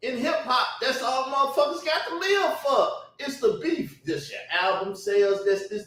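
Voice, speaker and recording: A man speaks with very wide pitch swings, and the room echo is audible. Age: 40s. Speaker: YouTube commentator. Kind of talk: heated rant. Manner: loud; laughing.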